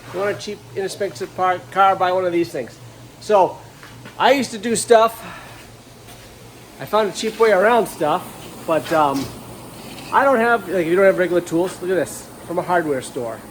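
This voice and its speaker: A high-pitched man mumbles at a moderate pace, with long, frequent pauses. Noticeable background noise runs underneath. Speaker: auto body restorer. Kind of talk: casual tutorial. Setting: workshop. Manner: mumbling.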